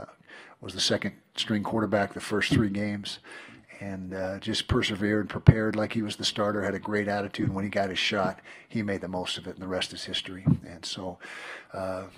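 A man talks at a fairly quick pace. His fairly low voice stays monotone and flat. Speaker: head football coach. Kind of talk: press conference statement. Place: hall. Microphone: podium.

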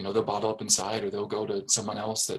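Talking at a fairly quick pace, a man with an American accent has an unremarkable speaking voice and medium pitch. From Fairfax, Virginia, US. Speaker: school board member. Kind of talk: interview.

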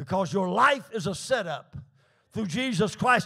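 Against a quiet background, a man speaks in a raised, projected voice with a bright, sharp, animated tone and very wide pitch swings. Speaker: preacher. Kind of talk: sermon. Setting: church with congregation. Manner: animated, exhorting, call-and-response; rhythmic, building, fervent. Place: church. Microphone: handheld.

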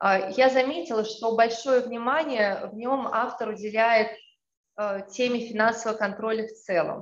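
The room echo is audible as a woman talks at a fairly slow pace. Her pitch varies in an ordinary way. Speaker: law lecturer. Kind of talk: academic presentation. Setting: video call. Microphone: video call.

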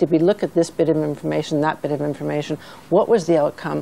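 Over light background noise, a woman talks at a very fast pace with fairly even intonation. Her voice has a very deep, low pitch, vocal fry, and a dark, mellow tone. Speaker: charity director. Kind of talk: studio discussion. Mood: earnest, concerned. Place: studio. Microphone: lapel.

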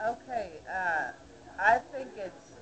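A woman with an American accent talks over noticeable background noise. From Youngstown, Ohio, US. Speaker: Occupy activist. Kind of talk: interview answer. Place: bar. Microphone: webcam.

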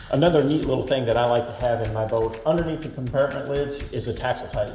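A man speaks very fast, his pitch varying in an ordinary way, as noticeable background noise carries on behind him. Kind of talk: product tour walkthrough. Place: garage.

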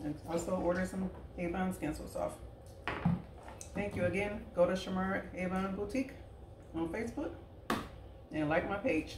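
Over noticeable background noise, a woman speaks at a moderate pace with ordinary pitch variation and long, frequent pauses. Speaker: direct sales representative. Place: kitchen. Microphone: camera far.

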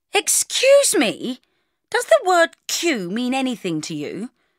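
A put-on character voice with high pitch moves at a fairly slow pace. The recording is very clean, the background silent. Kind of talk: haughty, prim. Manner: hoity-toity.

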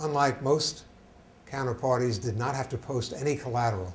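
Light background noise sits under a somewhat breathy male voice. He keeps a moderate pace with ordinary pitch variation. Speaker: guest lecturer. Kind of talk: lecture. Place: hall. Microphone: lapel.

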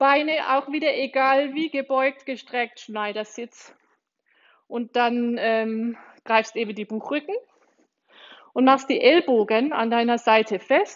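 With long, frequent pauses, a woman speaks at a fairly slow pace in a high pitch. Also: quiet background. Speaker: exercise instructor. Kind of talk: tutorial. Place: gym.

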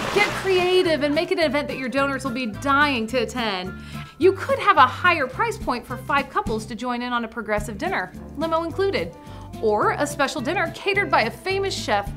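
Over clear music in the background, a woman speaks in a raised, projected voice at a high pitch with very wide pitch swings, her tone upbeat and enthusiastic at a fairly quick pace. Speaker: auctioneer and auction consultant host; auctioneer, auction consultant host. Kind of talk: instructional presentation to camera. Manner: upbeat, friendly, enthusiastic. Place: studio.

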